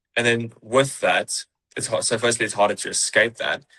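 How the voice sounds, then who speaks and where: At a moderate pace, a man talks in a New Zealand accent. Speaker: high-ticket sales closer. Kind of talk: interview podcast. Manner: casual, repetitive with false starts.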